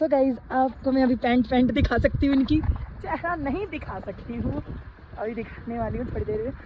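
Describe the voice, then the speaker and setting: Noticeable background noise sits behind a woman with a high voice who speaks at a fairly slow pace with ordinary pitch variation. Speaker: vlogger. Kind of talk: casual vlog.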